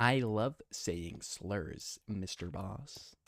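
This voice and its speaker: A man is speaking. His voice has vocal fry. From New Zealand. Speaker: gaming streamer. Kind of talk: casual live-stream chat.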